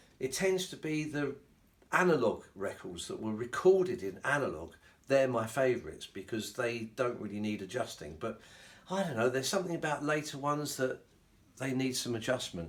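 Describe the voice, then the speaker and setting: With a British accent, a man at a medium pitch makes very wide pitch swings. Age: 60s. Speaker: hi-fi hobbyist YouTuber and novelist. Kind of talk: casual vlog talk to camera. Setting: home, filmed by a companion. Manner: hesitant, with frequent fillers.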